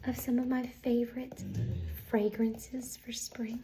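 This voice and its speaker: A woman with a fairly high-pitched voice talks as noticeable background noise plays. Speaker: ASMR artist. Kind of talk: ASMR roleplay, soft-spoken. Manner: soft-spoken, friendly, welcoming.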